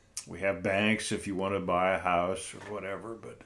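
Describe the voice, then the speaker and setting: In an American accent, a man with a very deep, low voice speaks at a moderate pace with fairly even intonation, and audible room echo surrounds him. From North Central Ohio. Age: 70s. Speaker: interview guest. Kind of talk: casual interview.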